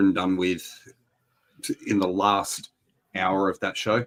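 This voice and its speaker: A man's fairly low voice with an Australian accent, at a fairly slow pace, in a very clean recording with a silent background. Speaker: wrestling podcast host. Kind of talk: casual chat.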